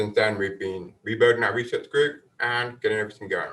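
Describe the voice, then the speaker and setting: A man with a British accent and a bright, sharp tone, with ordinary pitch variation. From UK. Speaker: marine scientist, professor. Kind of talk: lecture. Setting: webinar.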